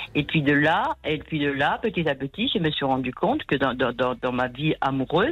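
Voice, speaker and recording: A woman with a very deep, low pitch, in a southern French accent. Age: 60s. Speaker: caller. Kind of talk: testimony. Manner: halting.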